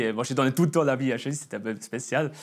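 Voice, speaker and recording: A man of medium pitch speaks with a slight Swiss German accent. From Swiss German region (Bern, Emmental). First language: Swiss German (speaking French). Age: 20s. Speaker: churchgoer giving testimony, sales worker. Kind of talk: testimony. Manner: halting, many hesitations.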